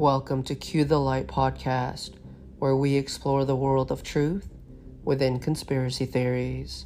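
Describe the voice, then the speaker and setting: Music in the background behind a woman speaking at a fairly slow pace. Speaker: podcast host. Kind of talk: dramatic scripted-style narration of conspiracy theories, ominous and suspenseful. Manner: earnest and grave, building suspense toward a revelation.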